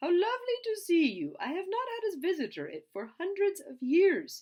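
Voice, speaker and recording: A squeaky, put-on character voice that sounds female, pitched extremely high. It moves along at a moderate pace. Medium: read story. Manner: gentle, wistful.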